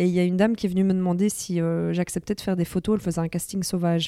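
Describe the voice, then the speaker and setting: Over a silent background on a very clean recording, a woman with a fairly low pitch and a dark, mellow tone speaks at a very fast pace in a monotone, flat intonation, the sound dry and close with no echo. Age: 30s. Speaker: social media influencer and author. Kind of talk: interview testimony.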